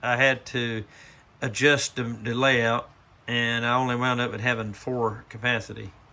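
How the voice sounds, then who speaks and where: A man's medium-pitched voice with an eastern North Carolina accent, bright and sharp in tone yet relaxed, at a moderate pace. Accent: Southern US (eastern North Carolina). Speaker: model railroad hobbyist. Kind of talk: casual video walkthrough. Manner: relaxed, hesitant with fillers.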